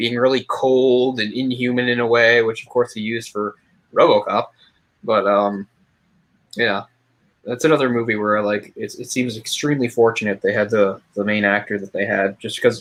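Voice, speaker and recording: The man uses a normal speaking voice, pitched at a medium level. He keeps a moderate pace with fairly even intonation. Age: 30s. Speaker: movie reviewer. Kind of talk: casual chat.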